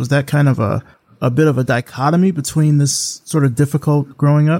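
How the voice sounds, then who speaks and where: In an ordinary speaking voice, a man talks at a fairly quick pace and fairly high pitch, the sound dry and close with no echo. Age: 40s. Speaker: podcast host. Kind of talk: interview.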